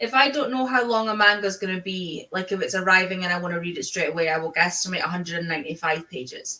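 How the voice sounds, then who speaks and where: With hardly any pauses, a woman races along at a very fast pace, her medium pitch carried by lively intonation. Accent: Scottish. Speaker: book streamer. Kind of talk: casual chat.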